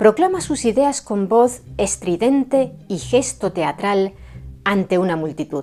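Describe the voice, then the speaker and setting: A woman's dark, mellow tone at a fairly slow pace, with very wide pitch swings. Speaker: history documentary narrator. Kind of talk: documentary narration.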